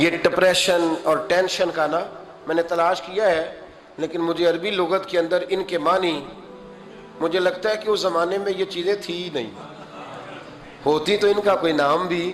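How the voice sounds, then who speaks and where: Noticeable background noise surrounds this recording. A man speaks with a high pitch and fairly even intonation. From Pakistan. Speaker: Islamic scholar and preacher. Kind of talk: religious sermon (bayan). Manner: emotional, storytelling.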